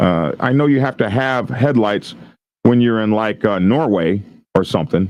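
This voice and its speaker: A man's normal speaking voice, fairly low-pitched with ordinary pitch variation, very even loudness and a moderate pace. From Oklahoma. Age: 60s. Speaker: commentator on viral police videos. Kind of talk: commentary reading an article aloud with asides. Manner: casual, with frequent fillers and restarts.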